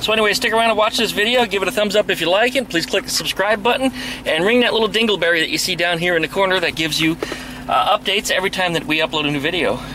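A man talks at a very fast pace in a raised, projected voice with very even loudness and ordinary pitch variation. The sound is dry with no echo, and there is noticeable background noise. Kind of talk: casual vlog chat. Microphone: phone near.

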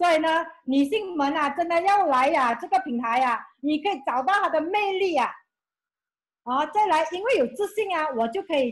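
An animated tone with lively intonation at a moderate pace, over a quiet background. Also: woman, extremely high pitch for a woman. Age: 50s. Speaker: former school clerk, beauty brand representative; presenter. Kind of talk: testimony. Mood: enthusiastic, grateful. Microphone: video call.

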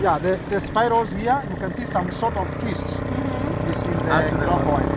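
A man's voice with a dry sound with no echo, amid loud background noise. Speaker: local guide. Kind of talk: demonstration explanation to tourists. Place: street. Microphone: phone near.

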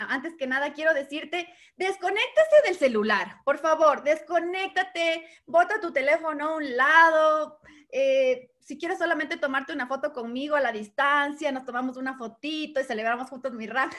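Over a quiet background, a woman with a high pitch speaks at a moderate pace and ordinary pitch variation. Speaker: network marketing trainer. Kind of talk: motivational talk. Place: home room. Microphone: webcam.

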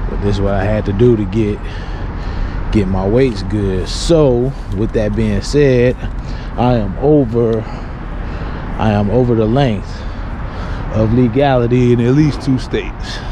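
A man's speech with ordinary pitch variation, long and frequent pauses, and noticeable background noise. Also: fairly slow pace, dry sound with no echo. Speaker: truck driver vlogger. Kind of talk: casual vlog chat. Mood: frustrated, swearing. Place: street. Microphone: phone near.

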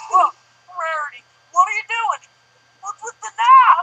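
This is a put-on character voice that sounds female, at an extremely high pitch for a woman. It moves at a moderate pace. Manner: drawling, blunt, alarmed.

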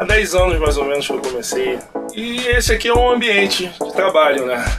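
A man talks at a moderate pace while clear music is heard behind him. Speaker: sound designer. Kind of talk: casual talk to camera. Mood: relaxed, smiling. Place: studio. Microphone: phone near.

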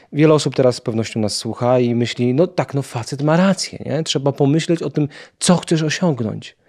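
Fairly quick delivery with ordinary pitch variation over a quiet background. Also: man, fairly high pitch for a man. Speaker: podcast host. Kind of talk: interview. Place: studio. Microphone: studio mic.

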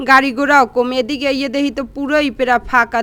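A woman with a Barishal accent speaks in a high pitch with a bright, sharp tone and fairly even intonation. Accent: Barishal Bengali dialect. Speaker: vlogger and mother. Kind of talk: casual vlog narration.

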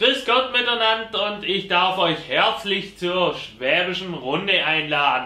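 A man's high-pitched, raised, projected voice moves very slowly with lively intonation and hardly any pauses, with audible room echo. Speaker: quiz host. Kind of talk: game show hosting. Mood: playful, teasing. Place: studio.

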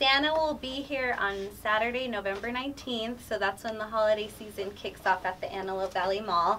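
At a fairly quick pace, a woman speaks at a medium pitch with a bright, sharp tone and ordinary pitch variation.

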